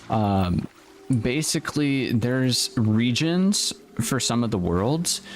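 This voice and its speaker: A man's very slow speech at a medium pitch, with very wide pitch swings and music in the background. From United States. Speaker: gaming streamer. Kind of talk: live stream gaming chat. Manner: casual, rambling with fillers.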